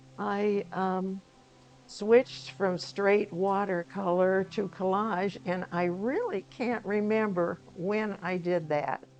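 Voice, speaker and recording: A woman with an American accent at a very slow pace, fairly even in intonation, with noticeable background noise. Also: medium pitch for a woman. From Indiana, US Midwest. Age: 90s. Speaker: artist. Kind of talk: interview. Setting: at home.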